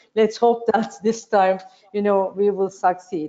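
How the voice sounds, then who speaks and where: This woman speaks with a Turkish accent at a moderate pace. Her intonation stays monotone and flat. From Turkey. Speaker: panel moderator, shipping executive; panelist. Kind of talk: panel discussion. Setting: video call. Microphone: video call.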